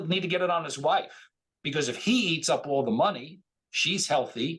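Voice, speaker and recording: Quick-paced and animated, a man talks with lively intonation. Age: 60s. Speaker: financial planner. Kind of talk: interview.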